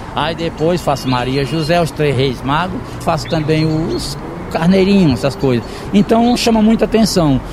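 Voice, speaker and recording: A man with a fairly high pitch speaks at a moderate pace. His intonation is lively, and there is noticeable background noise. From Ceará backlands, Pentecoste (Brazil). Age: 50s. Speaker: gardener and woodcarving artisan. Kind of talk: interview.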